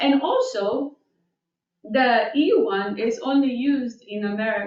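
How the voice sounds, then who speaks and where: A woman talks in a high voice with lively intonation. She has a non-native accent. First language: not English. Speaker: board staff member presenting rules. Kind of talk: public board meeting. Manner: halting, many fillers.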